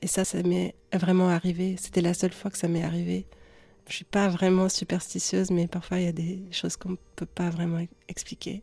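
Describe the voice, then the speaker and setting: The delivery is somewhat breathy, with a dark, mellow tone. Intonation stays monotone and flat at a moderate pace. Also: woman, fairly low pitch for a woman. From Lebanon. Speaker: singer-songwriter. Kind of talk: interview. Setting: studio.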